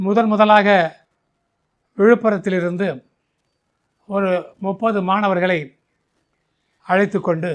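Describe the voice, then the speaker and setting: This man's high-pitched voice stays monotone, with flat intonation throughout. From Tamil Nadu. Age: 80s+. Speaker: retired physical education teacher and sports coach. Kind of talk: interview answer. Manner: clear, composed.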